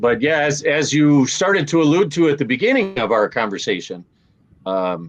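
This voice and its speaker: A man with an American accent, very wide pitch swings and very even loudness, over a quiet background. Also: fairly high pitch for a man, moderate pace. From Minnesota. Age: 60s. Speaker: Navy veteran. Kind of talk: interview.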